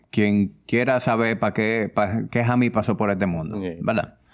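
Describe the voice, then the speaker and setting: A man's medium-pitched delivery, an ordinary speaking voice, shows ordinary pitch variation. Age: 30s. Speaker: fitness coach and wellness entrepreneur. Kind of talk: interview.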